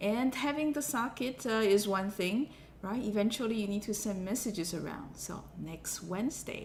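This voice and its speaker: A woman's fairly high, somewhat breathy voice at a moderate pace, with ordinary pitch variation and audible room echo. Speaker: university lecturer. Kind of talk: lecture. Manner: hesitant, many fillers.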